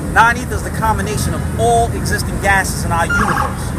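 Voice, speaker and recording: A man speaks at a fairly quick pace. Loud background noise is present. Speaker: speaker. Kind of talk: impassioned street lecture. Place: street. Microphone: phone near.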